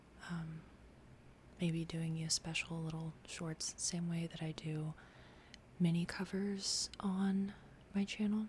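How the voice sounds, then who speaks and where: A soft-spoken woman whispers, somewhat breathy, at a very slow pace. She leaves long, frequent pauses. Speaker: ASMR creator. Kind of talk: ASMR talk to camera. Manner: soft-spoken, whispered.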